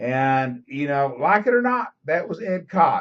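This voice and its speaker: The man's fairly high voice moves through very wide pitch swings. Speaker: political vlogger. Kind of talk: webcam commentary monologue. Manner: halting, many fillers and repetitions.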